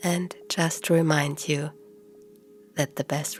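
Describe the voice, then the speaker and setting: With music in the background, a woman speaks in a very deep, low pitch and a soothing tone, fairly slowly and with monotone, flat intonation. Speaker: meditation guide. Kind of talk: sleep hypnosis. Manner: soothing, slow.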